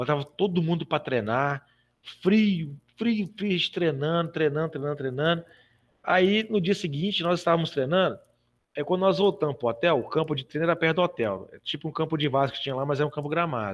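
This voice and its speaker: Over a quiet background, a man speaks at a fairly quick pace with lively intonation. His pitch is fairly high, and it is an unremarkable speaking voice. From Brazil, Belo Horizonte (Minas Gerais). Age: 40s. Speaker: physical education teacher and American football club executive. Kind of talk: casual podcast interview, storytelling.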